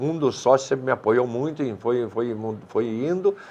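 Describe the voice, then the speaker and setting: Dark, mellow tone from a man speaking at a fairly slow pace. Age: 70s. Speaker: restaurant owner. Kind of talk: TV interview. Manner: hesitant, repeats words.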